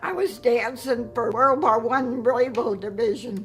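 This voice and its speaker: Over background music, a woman with an American accent speaks in a high pitch at a fairly slow pace. Her pitch variation is ordinary. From Chicago. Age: 80s+. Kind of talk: interview answer.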